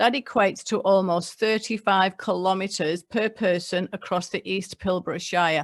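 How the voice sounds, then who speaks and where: With an English accent, a woman talks at a medium pitch and a moderate pace, showing ordinary pitch variation. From England. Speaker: local government mayor. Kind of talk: prepared speech. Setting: online webinar. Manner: reading from notes.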